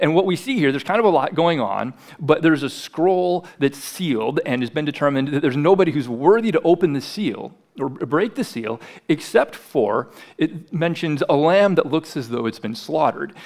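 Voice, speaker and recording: The man's voice sits fairly high, with lively intonation. He keeps a moderate pace over a quiet background. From US Midwest, South Dakota. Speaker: pastor. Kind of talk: sermon. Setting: church. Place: church. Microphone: headset.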